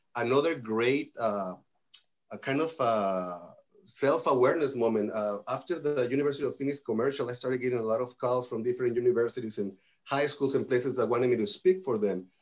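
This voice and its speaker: Here a man speaks with a Spanish accent at medium pitch. His pace is fairly quick and his pitch variation ordinary. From Mexico. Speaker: nurse executive. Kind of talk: panel discussion.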